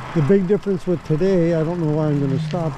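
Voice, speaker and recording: Background noise is noticeable. The audio is dry, without any echo. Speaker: e-bike rider vlogger. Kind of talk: casual vlog chat. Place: street. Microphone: camera far.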